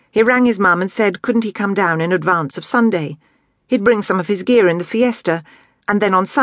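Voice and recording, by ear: With ordinary pitch variation, a person reads aloud in a natural voice against a quiet background.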